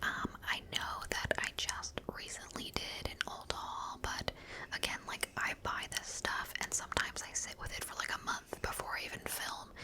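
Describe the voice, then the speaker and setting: There is noticeable background noise. Through it, a woman whispers. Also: moderate pace. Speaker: ASMR creator. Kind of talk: casual talk to camera, beauty product review. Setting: home recording with a microphone. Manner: soft-spoken, chatty.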